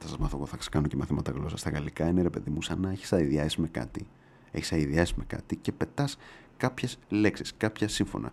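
A man with a very deep, low pitch talks at a fairly quick pace in an animated tone with vocal fry and ordinary pitch variation. The recording is very clean with a silent background. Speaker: podcast host. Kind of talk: casual monologue.

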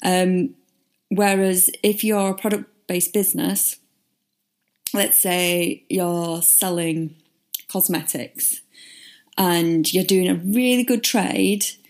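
A woman speaks very slowly at medium pitch in a northern English accent, with long, frequent pauses. Her loudness stays very even. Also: ordinary pitch variation, very clean recording, silent background. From northern England. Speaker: podcast host, marketing consultant. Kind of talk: solo podcast monologue, casual explainer.

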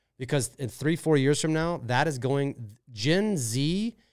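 A man with an American accent speaks at a medium pitch with lively intonation. The recording is very clean, with a silent background. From US Midwest, St. Louis. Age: 40s. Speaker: social media marketer. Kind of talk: casual interview. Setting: studio.

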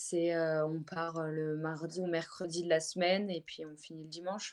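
At a moderate pace, a woman speaks at a fairly low pitch with monotone, flat intonation. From French Alps, Haute-Savoie. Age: 20s. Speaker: professional snowboarder. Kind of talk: interview.

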